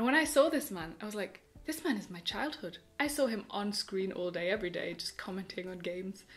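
Her intonation is lively. The woman talks at a fairly quick pace. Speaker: YouTuber. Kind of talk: casual vlog monologue. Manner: animated. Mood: enthusiastic, warm. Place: home room.

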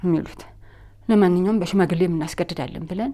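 A woman's tone is dark and mellow, with ordinary pitch variation. The background is quiet. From Addis Ababa, Ethiopia. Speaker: interviewee telling her life story; interviewee. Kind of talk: testimony. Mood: earnest, aggrieved storytelling. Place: studio. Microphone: lapel.

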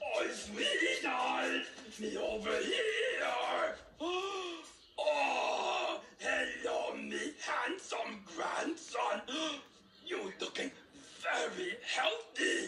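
A put-on character voice shouts at a very slow pace, with long, frequent pauses. Light background noise and a slight echo are audible. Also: man. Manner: sweet, disguised.

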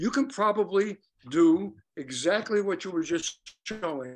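A high-pitched male voice with lively intonation against a quiet background. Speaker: clarinetist and periodontist; guest. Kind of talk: interview. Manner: halting. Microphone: video call.

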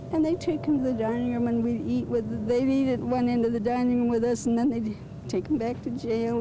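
A woman is speaking. Loud background noise surrounds a dry sound with no echo. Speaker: interviewee. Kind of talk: interview answer. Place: garden.

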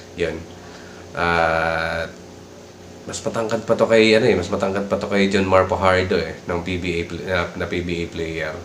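A man's very deep, low voice at a fairly slow pace, with audible room echo and noticeable background noise. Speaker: vlogger. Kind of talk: casual commentary.

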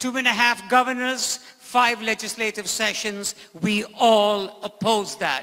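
A raised, projected voice with a bright, sharp tone moves at a fairly slow pace against a quiet background. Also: man. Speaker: state legislator and political candidate; candidate. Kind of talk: political debate. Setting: stage with audience. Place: stage. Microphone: handheld.

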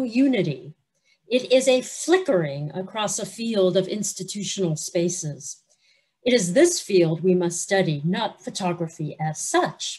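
A woman speaks at a fairly slow pace, somewhat breathy, her pitch swinging very widely. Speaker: guest lecturer. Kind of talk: lecture. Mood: warm, friendly opening. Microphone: video call.

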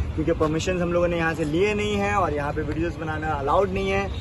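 There is noticeable background noise. A man speaks at a moderate pace. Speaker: food vlogger. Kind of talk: casual vlog chat. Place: street. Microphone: phone near.

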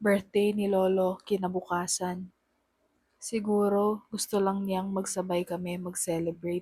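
A woman of medium pitch speaks at a fairly slow pace. Her tone is dark and mellow, her intonation monotone and flat. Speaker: horror storyteller. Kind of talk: first-person ghost story telling, told as a true story. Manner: hushed, slow and suspenseful, building tension.

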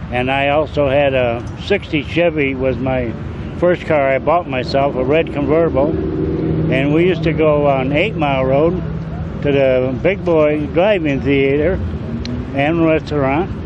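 Over noticeable background noise, a man speaks with fairly even intonation and very even loudness. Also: fairly slow pace, dry sound with no echo. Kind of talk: interview answer. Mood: nostalgic, relaxed. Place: street. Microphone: handheld.

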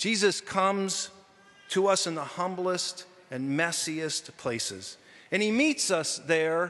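The tone is bright and sharp, and the pace is fairly slow. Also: man. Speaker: deacon preaching. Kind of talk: sermon. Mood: earnest, reflective. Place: church. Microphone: podium.

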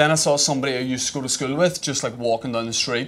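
In a Northern Irish accent, a man talks at a very fast pace. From Northern Ireland. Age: 30s. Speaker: stand-up comedian. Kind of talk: stand-up comedy set. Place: stage. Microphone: handheld.

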